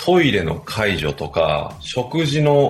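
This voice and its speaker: A man is heard over noticeable background noise. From Japan, Chiba. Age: 40s. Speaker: sports chiropractor and team trainer. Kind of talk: radio interview.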